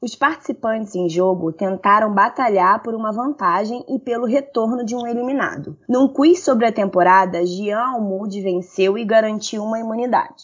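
A woman speaks at a moderate pace with hardly any pauses, her fairly high voice somewhat breathy and her pitch varying in an ordinary way. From Rio de Janeiro, Brazil. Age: 30s. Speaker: nurse and online game moderator. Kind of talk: news reading.

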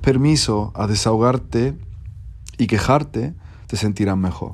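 With an Andalusian accent, a man speaks at a medium pitch and a fairly slow pace, his pitch varying in an ordinary way. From Andalusia, Spain. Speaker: content creator. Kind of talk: advice monologue.

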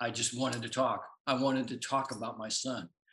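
Bright and sharp in tone, a man's voice carries an American accent. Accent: American twang. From US, Tucson, Arizona. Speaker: pharmacist, author and bereaved parent. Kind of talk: interview conversation.

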